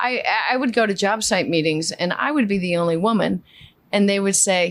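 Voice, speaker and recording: With a New York accent, the speaker talks at a fairly quick pace using ordinary pitch variation. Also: woman, medium pitch for a woman. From Queens, New York. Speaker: flooring business owner. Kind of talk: casual chat.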